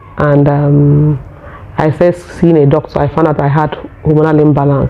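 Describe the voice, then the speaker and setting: At a fairly slow pace, a woman talks in a very deep, low voice with fairly even intonation. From Nigeria. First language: Nigerian local language. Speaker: vlogger. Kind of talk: casual personal vlog talk. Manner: halting, with fillers.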